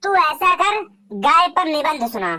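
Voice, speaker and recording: A woman puts on a cartoonish character voice at an extremely high pitch. Her pitch swings very widely. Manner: scolding, bossy.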